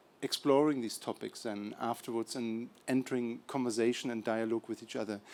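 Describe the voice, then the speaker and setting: A man with a German accent speaks at a fairly quick pace in a monotone, flat intonation. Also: medium pitch for a man. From Germany, Berlin. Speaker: documentary filmmaker. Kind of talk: event introduction to audience. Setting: screening event with audience.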